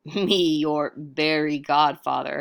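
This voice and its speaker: On a very clean recording with a silent background, a put-on character voice growls in a gruff, middle pitch. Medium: read story. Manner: broken caveman grammar.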